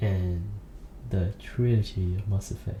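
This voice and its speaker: A soft-spoken man talks at a very slow pace with a fairly low pitch. Noticeable background noise runs underneath. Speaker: ASMR creator. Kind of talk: ASMR rambling monologue.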